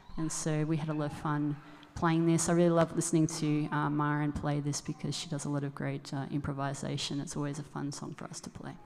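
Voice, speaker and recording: In an Australian accent, a woman talks very fast with a very deep, low pitch and flat, monotone intonation. Background noise is noticeable. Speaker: musician. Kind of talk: song introduction at concert. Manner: halting.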